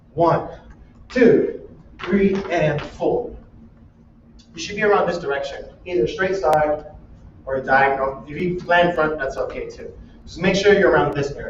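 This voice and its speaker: Amid noticeable background noise and audible room echo, a man speaks at a fairly slow pace, with long, frequent pauses and big swings in loudness. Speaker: dance teacher. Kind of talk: dance class instruction.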